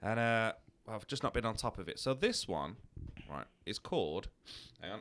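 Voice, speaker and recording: The delivery has vocal fry and lively intonation. The pace is moderate. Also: man, medium pitch for a man. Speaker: podcast host. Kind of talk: casual chat.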